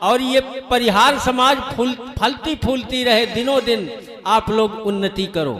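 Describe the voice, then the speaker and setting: A man's ordinary pitch variation comes across through noticeable background noise. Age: 60s. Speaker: kathavachak (religious storyteller/preacher). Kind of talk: religious discourse (katha).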